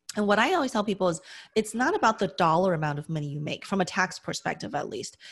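A woman with an American accent speaks at a medium pitch over a quiet background. Her voice is somewhat breathy, with lively intonation. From US West, Las Vegas. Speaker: accountant and real estate investor. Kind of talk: interview.

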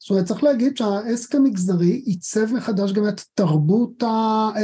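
A man's high-pitched voice with a dark, mellow tone, ordinary pitch variation and a moderate pace. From Israel, Haifa. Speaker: history professor. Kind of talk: interview.

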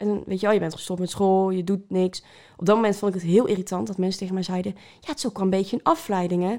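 On a very clean recording with a silent background, a woman with a dark, mellow tone and medium pitch talks at a very fast pace with fairly even intonation. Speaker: cancer survivor, social media creator. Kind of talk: testimony. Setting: at a kitchen table.

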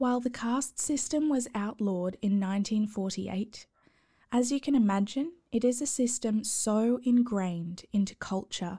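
Speaking with an Australian accent, a woman has a calm, soothing tone that is dark, mellow and somewhat breathy. Her recording is very clean, with a silent background. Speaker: podcast host. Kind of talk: scripted bedtime storytelling narration.

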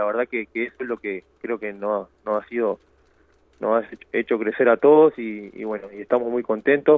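A man talks at a moderate pace in a medium pitch. His intonation is fairly even. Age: 30s. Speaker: professional footballer. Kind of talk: radio interview.

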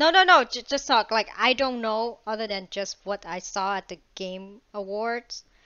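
A woman in a normal speaking voice, fairly high in pitch, fairly slow with hardly any pauses, lively intonation and big swings in loudness. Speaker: podcast host. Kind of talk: casual chat.

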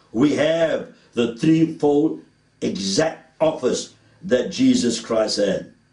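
At a very slow pace and very even loudness, a man speaks at a fairly high pitch with very wide pitch swings, a dark, mellow tone and vocal fry. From South Africa, Cape Town (Woodstock). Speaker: preacher. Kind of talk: sermon.

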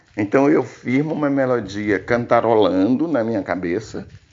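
A man's medium-pitched voice carries lively intonation as he speaks fairly slowly. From Brazil, Tocantins (Gurupi). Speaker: singer-songwriter. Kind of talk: testimony. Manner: halting.

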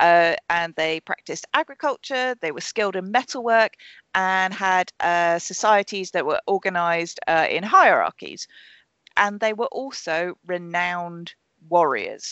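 A woman speaks at a fairly slow pace with a medium pitch and ordinary pitch variation. She has a plain, everyday voice. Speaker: podcast host. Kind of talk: casual chat. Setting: video call.

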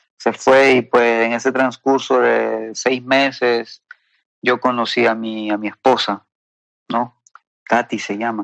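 Delivered at a fairly slow pace, the speech has monotone, flat intonation and a dry, close sound with no echo. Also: man. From Peru. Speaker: testimony guest. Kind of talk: testimony. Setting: phone call. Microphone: WhatsApp call audio.

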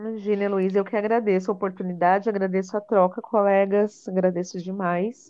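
Her intonation monotone and flat, a woman talks in a medium pitch at a moderate pace. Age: 30s. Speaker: entrepreneur and teacher. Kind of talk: casual chat.

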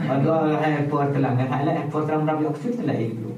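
Over noticeable background noise and audible room echo, a man talks at a fairly quick pace with a fairly high pitch. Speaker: podcast host. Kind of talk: casual chat. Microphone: camera audio, poor sound quality.

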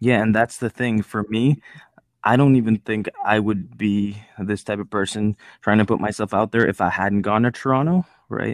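A normal speaking voice, medium in pace, with normal pitch movement. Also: man, fairly low pitch for a man. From Nepal, raised in Edmonton, Canada from about age 12. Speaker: podcast host. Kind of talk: casual interview chat; podcast outro.

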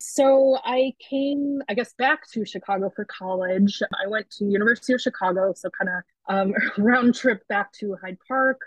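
A woman talks with an American accent at a moderate pace. Her voice is somewhat breathy. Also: fairly high pitch for a woman, ordinary pitch variation, hardly any pauses. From US East Coast, Baltimore suburbs. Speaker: writer and zine publisher. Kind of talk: interview.

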